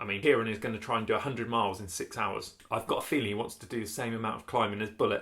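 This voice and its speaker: With a British accent, a man speaks at a very fast pace in a bright, sharp tone. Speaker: YouTuber vlogger. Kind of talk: casual vlog chat.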